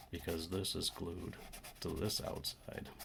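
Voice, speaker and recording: The voice is soft-spoken. Its intonation is monotone and flat. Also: man. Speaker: DIY electronics repair youtuber. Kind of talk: tutorial.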